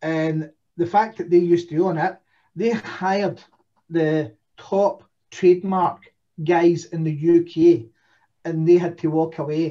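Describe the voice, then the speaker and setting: Speaking in a Scottish accent at a fairly slow pace, a man with a high pitch and a dark, mellow tone keeps his intonation fairly even and leaves long, frequent pauses. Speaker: domain investor. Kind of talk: casual chat.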